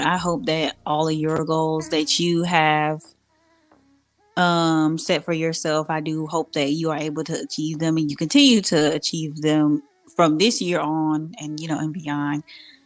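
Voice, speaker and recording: Music plays behind a woman with a very deep, low pitch. She speaks at a moderate pace with fairly even intonation. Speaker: podcast co-host. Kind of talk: casual chat.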